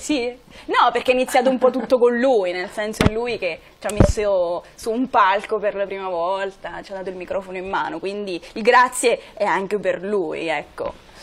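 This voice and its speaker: A woman talks at a moderate pace and a medium pitch, with hardly any pauses. Her pitch varies in an ordinary way while her loudness swings widely. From Italy, Marche (Morrovalle). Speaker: singer. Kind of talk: TV interview. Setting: studio. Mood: relaxed, slightly shy. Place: studio.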